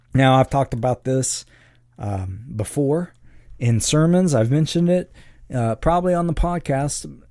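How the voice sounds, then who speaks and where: The speaker is a man. His pitch is fairly high. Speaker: podcast host and Bible teacher. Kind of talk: teaching monologue. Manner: energetic; hesitant fillers and repetitions.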